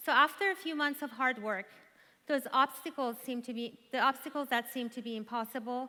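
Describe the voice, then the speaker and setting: A woman with an Iranian accent speaks at a moderate pace and a high pitch, with ordinary pitch variation. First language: Farsi. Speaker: conference speaker. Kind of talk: motivational speech.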